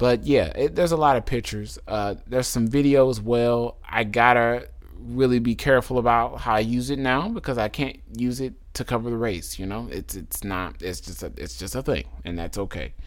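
Hardly pausing, a man talks at a moderate pace in an animated tone. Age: 30s. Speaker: drag racing podcaster. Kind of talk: solo podcast commentary. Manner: talkative.

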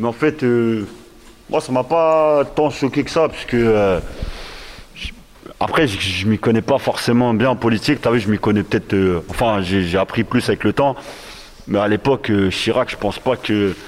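A man at a medium pitch, with long, frequent pauses and noticeable background noise. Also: ordinary pitch variation. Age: 40s. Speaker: rapper. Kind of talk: casual discussion. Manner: halting.

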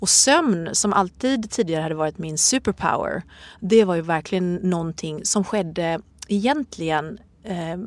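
On a very clean recording with a silent background, a woman uses a normal speaking voice at medium pitch and a moderate pace. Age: 40s. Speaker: yoga instructor and author. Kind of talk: interview.

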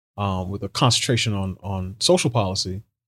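At a fairly slow pace, a man with a normal speaking voice and fairly low pitch uses lively intonation, recorded dry and close with no echo, very clean, against a silent background. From New York City, Barbadian immigrant parents. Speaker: social policy writer and commentator. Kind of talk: interview conversation.

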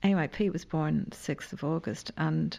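A woman speaks with a Dublin accent. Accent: Irish (Dublin). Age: 50s. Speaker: playwright and newspaper columnist. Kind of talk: casual chat.

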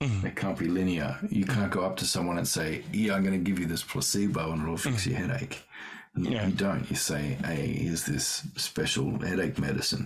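Speaking at a moderate pace in a very deep, low voice, a man with an Australian accent uses lively intonation and very even loudness over noticeable background noise. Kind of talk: casual chat. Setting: video call.

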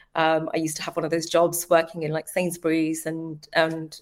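A woman speaks in a London accent. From East London, England. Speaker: marketing leader. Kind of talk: interview conversation. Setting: video call.

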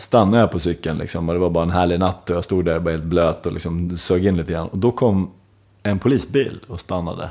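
A man's very deep, low voice with a dark, mellow tone, ordinary pitch variation and a fairly quick pace. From Sweden, Dalarna (Ludvika). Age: 40s. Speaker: musician. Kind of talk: casual chat.

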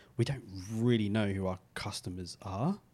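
The man's pace is moderate. There is ordinary variation in his pitch. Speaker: podcast co-host, former radio presenter. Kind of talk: casual chat.

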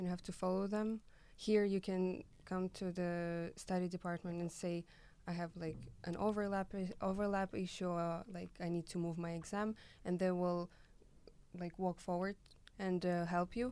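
Flat, monotone intonation and a dark, mellow tone come through in a Russian accent. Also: woman, medium pitch for a woman, moderate pace. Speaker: student who did Erasmus exchange. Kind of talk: casual interview chat.

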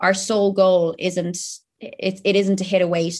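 In an Irish accent, a woman speaks at a medium pitch against a quiet background. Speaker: online fitness and nutrition coach. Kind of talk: casual interview chat. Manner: animated.

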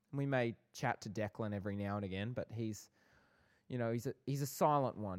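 Fairly quick speech with an Australian accent and ordinary pitch variation on a very clean recording with a silent background. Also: man, dry, close sound with no echo. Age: 20s. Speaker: podcast co-host, film and TV worker. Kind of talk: casual chat.

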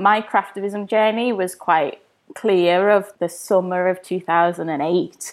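In a London accent, a woman speaks at a medium pitch. Her intonation is fairly even and her pace fairly slow. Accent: southern English, London. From East London. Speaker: craft activist, author and campaigner. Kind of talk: casual interview.

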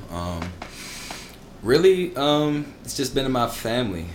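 A man with an American accent and a medium pitch, very wide pitch swings, audible room echo and music in the background. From Maryland. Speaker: fraternity member. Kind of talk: casual chat.

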